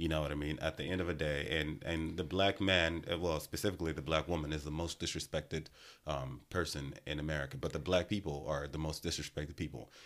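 A man talks at a very fast pace with hardly any pauses, his very deep, low voice carrying vocal fry and fairly even intonation on a very clean recording with a silent background. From Nigeria. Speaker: podcast host. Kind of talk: interview. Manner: direct.

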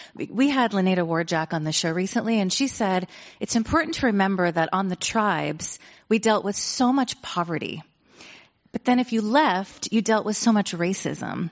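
A woman's plain, everyday voice, medium in pitch, with lively intonation at a moderate pace. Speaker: radio host acting as moderator. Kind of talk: onstage interview and Q&A moderation. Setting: stage with audience.

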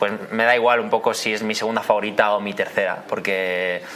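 Over noticeable background noise, a man with a fairly low pitch speaks at a fairly quick pace in a flat monotone. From Spain. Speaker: band member, musician. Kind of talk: casual interview.

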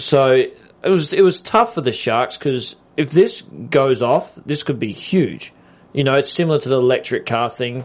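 Someone with an Australian accent speaks at a moderate pace with lively intonation. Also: man, fairly high pitch for a man. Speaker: TV aftershow co-host. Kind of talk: casual chat.

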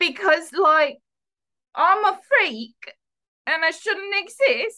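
Slowly and with lively intonation, a woman performs a put-on character voice with a bright, sharp tone at an extremely high pitch.

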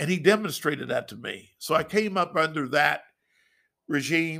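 A man speaks with a bright, sharp tone at a fairly high pitch, with ordinary pitch variation. The recording is very clean, with a silent background. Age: 60s. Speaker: pastor. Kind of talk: casual interview chat. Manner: animated, rhyming.

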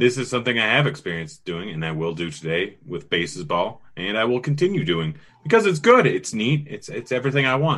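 A man puts on a robotic character voice at medium pitch, talking at a fairly quick pace with hardly any pauses and very wide pitch swings.

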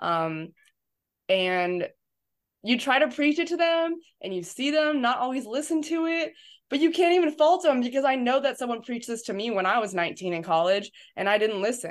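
On a very clean recording with a silent background, a woman with an American accent speaks at a moderate pace in a high voice with very wide pitch swings. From Southern California, San Diego. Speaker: college strength coach. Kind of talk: casual interview chat.

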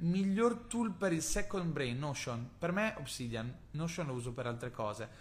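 Here a man speaks at a fairly slow pace. His voice is somewhat breathy, with lively intonation. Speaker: podcast host, marketing entrepreneur. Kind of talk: casual solo podcast with Q&A. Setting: recording from Bali, Indonesia. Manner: conversational, enthusiastic.

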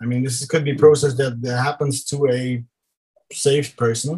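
A man speaks in a German accent at a moderate pace, his intonation monotone and flat. His tone is dark and mellow, and somewhat breathy. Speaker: church planter. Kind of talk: casual discussion of song lyrics.

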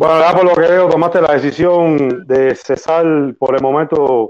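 Here a man speaks with a fairly high pitch and fairly even intonation. It is an ordinary speaking voice. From Cuba. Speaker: political activist. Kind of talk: casual chat.

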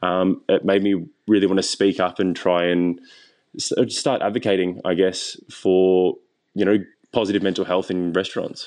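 In an Australian accent, a man with a very deep, low pitch speaks at a moderate pace and in a flat monotone against a quiet background. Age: 20s. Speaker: chef. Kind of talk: interview. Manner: halting.

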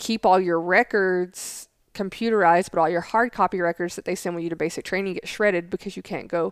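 A woman with a Southern US accent and fairly even intonation, in a dry, close sound with no echo on a very clean recording with a silent background. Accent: Southern US accent, still noticeable. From Tennessee. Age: 30s. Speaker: Air Force intelligence analyst, podcast co-host. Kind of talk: casual chat.

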